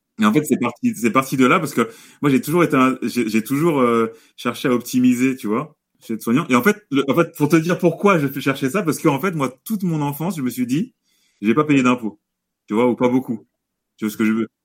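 An unremarkable speaking voice at a fairly quick pace with lively intonation. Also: man, medium pitch for a man. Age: 30s. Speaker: real estate investor. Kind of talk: casual interview.

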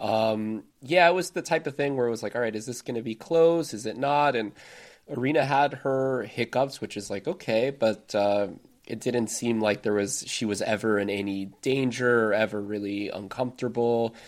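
Speaking with an American accent, a man uses an ordinary speaking voice at medium pitch, moderate pace and ordinary pitch variation. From United States. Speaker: tennis podcast co-host. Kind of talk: casual chat.

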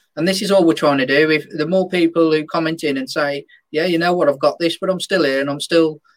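This man has a normal speaking voice with a fairly high pitch. He talks at a fairly quick pace with fairly even intonation. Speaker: podcast co-host. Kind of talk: casual group chat podcast.

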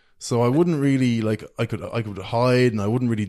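Talking with an Irish accent, a man keeps a moderate pace and ordinary pitch variation. The recording is very clean, with a silent background. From Ireland, County Meath. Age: 20s. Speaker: social media content creator. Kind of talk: casual chat. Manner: animated.

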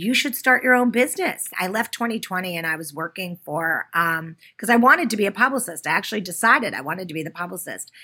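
The delivery is very fast, with lively intonation and a bright, sharp tone. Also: woman, medium pitch for a woman. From US, Pittsburgh. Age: 50s. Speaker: PR agency founder. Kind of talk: interview.

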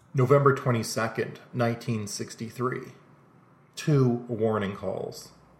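Somewhat breathy and fairly even in intonation, a man talks at a very slow pace with long, frequent pauses. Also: medium pitch for a man. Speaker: podcast host narrating mysteries. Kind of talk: scripted narration.

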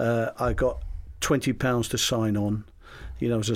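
Recorded very cleanly with a silent background, a man with a medium pitch speaks in a London accent. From London, England. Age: 70s. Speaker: retired footballer. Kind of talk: interview.

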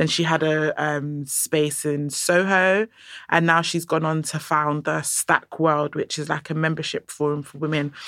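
A woman's very deep, low voice in a London accent, monotone and flat, at a fairly slow pace, on a very clean recording with a silent background. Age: young. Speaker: curator and art educator. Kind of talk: interview. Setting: studio.

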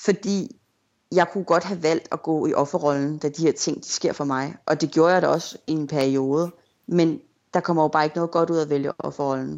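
A woman's very deep, low pitch, moderate pace and fairly even intonation. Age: 30s. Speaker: blogger. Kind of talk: interview.

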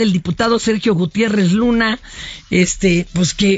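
Here a woman speaks with an animated tone. She keeps a moderate pace. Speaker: radio host. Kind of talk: casual chat.

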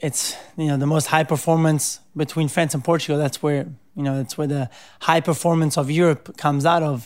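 At a moderate pace, a man with an Italian accent speaks at a fairly high pitch in monotone, flat intonation, in a very clean recording with a silent background. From Italy (Rome). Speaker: pro surfer. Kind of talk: interview. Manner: casual, many filler words.

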